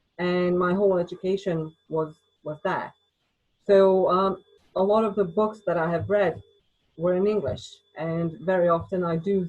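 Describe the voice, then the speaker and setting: A woman talks at a fairly slow pace with a medium pitch. Her intonation is flat and monotone. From Bosnia, then UK from age 13. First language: Bosnian. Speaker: writer. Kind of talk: interview.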